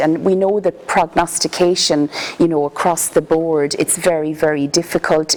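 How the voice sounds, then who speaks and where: A woman talks at a moderate pace in a very deep, low pitch. Her intonation stays monotone and flat over noticeable background noise. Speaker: palliative care consultant. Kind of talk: lecture. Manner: soft-spoken.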